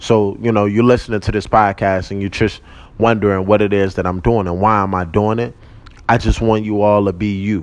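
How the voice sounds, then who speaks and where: A man talks at a fairly quick pace and a fairly low pitch, his intonation monotone and flat. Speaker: podcast host. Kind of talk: casual monologue. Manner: loud.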